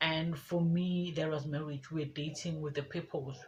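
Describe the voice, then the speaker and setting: A woman speaks in a very deep, low voice with monotone, flat intonation. Noticeable background noise runs underneath. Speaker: lifestyle vlogger. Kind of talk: casual vlog talk.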